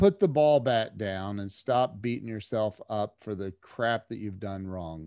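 With hardly any pauses, a man speaks in a dark, mellow tone, using ordinary pitch variation and big swings in loudness. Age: 50s. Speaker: entrepreneur and podcast host. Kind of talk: interview. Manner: halting, many repeated words; casual, animated.

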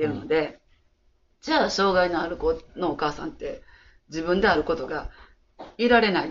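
A woman at a fairly low pitch with an Osaka accent, speaking at a moderate pace. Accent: Kansai (Osaka) Japanese. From Osaka, Ikuno ward. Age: 60s. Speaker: childcare worker. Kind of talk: interview.

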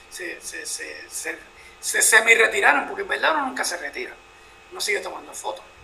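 Big swings in loudness at a moderate pace, with audible room echo and noticeable background noise. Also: man. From Puerto Rico. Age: 50s. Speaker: photojournalist. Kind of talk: interview.

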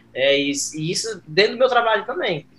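A man at a fairly quick pace, with lively intonation and noticeable background noise. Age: 30s. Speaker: cooperative professional. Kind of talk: interview.

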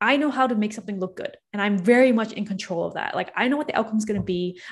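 In a Canadian accent, a woman talks at a very fast pace with hardly any pauses, her fairly high voice somewhat breathy. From Toronto, Canada. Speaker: startup founder and CEO. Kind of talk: casual interview.

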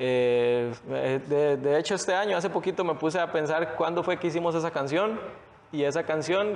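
A man with a fairly high pitch and ordinary pitch variation keeps a moderate pace in an ordinary speaking voice. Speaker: rapper and barber. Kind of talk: interview.

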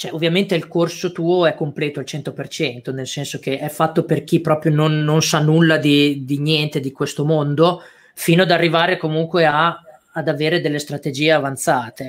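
Flat, monotone intonation marks this man's speech at a moderate pace. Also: fairly high pitch for a man. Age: 30s. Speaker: e-commerce entrepreneur and course teacher. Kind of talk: live-stream interview. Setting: online live stream.

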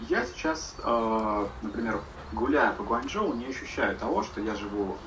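With lively intonation, a man speaks at a medium pitch. Audible room echo and noticeable background noise fill the recording. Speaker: podcast guest living abroad. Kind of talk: casual chat.

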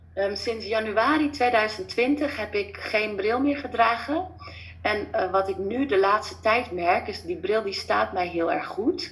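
A woman with a fairly high voice talks very slowly, her intonation lively. Noticeable background noise is present. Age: 30s. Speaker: former family doctor, natural healing coach. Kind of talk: interview.

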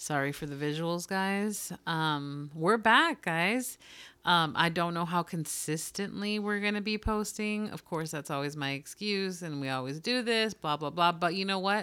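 Bright and sharp in tone, this voice moves at a fairly slow pace with ordinary pitch variation and hardly any pauses. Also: woman, fairly low pitch for a woman, very clean recording, silent background. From United States, Mexican-American family. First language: Spanish. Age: 30s. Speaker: podcast co-host. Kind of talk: casual chat. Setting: home recording.

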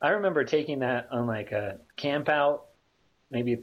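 Speaking at a moderate pace with ordinary pitch variation, this is a plain, everyday voice. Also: man. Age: 30s. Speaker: podcast guest. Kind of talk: casual chat. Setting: video call.

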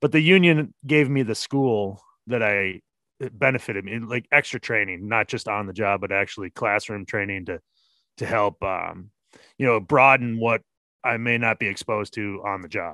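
This man speaks with an Upper Midwest accent. His pace is moderate. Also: medium pitch for a man, ordinary pitch variation. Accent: Upper Midwest American. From US Midwest, Minnesota. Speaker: plumber. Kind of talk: casual interview.

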